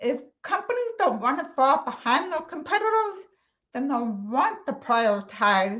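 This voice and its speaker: A woman with an American accent at a moderate pace, with very wide pitch swings. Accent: deaf. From Texas. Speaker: accessibility conference speaker. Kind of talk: conference talk.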